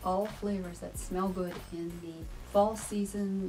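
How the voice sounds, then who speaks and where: A woman's monotone, flat intonation over faint music in the background. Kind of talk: casual product review chat. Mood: warm, informative. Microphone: camera far.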